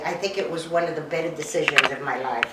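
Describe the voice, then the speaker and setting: At a moderate pace, a woman talks at a fairly low pitch amid noticeable background noise and audible room echo. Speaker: senior housing resident. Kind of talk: testimonial interview.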